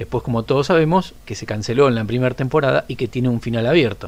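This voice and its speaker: A man speaks at a very fast pace. His voice sits at medium pitch. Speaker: listener. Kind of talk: recorded voice message.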